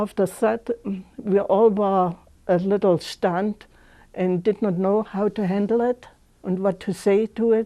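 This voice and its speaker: A woman with a German accent speaks fairly slowly in a dark, mellow tone with fairly even intonation. The background is quiet. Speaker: senior center member recalling memories. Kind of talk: personal recollection. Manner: halting.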